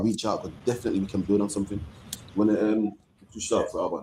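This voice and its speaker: A man in a Birmingham accent, medium in pitch, with a dark, mellow tone and fairly even intonation. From England. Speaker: religious group leader. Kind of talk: panel discussion.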